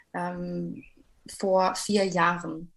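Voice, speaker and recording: The woman's voice comes through in a very clean recording with a silent background. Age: 20s. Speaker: life coach. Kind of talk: interview.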